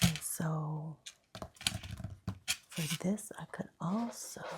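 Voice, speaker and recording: The voice is whispering. It is soft-spoken. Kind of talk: ASMR crafting video, casual talk to camera. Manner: soft-spoken, whispering.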